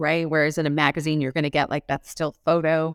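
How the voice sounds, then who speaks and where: A Californian accent on a very clean recording with a silent background, with a dry, close sound and no echo. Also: woman. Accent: General American (Californian). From Los Angeles, US. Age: 40s. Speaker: public relations expert. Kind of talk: interview.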